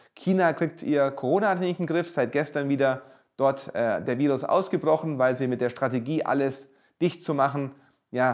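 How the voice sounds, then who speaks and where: Over a quiet background, a man with a normal speaking voice talks at a moderate pace, fairly high in pitch with ordinary pitch variation. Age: 40s. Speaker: real estate entrepreneur and author. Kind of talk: promotional monologue.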